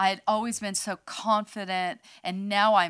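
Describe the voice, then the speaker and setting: On a very clean recording with a silent background, a woman with an American accent speaks at a fairly slow pace in a plain, everyday voice at a medium pitch. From California, near San Francisco. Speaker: podcast co-host, ministry leader. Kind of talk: casual chat.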